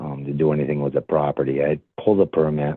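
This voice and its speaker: A man speaks at a fairly quick pace in a very deep, low voice. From Maine. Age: 60s. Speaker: property owner at public comment. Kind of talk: public comment at town meeting. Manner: halting, many fillers.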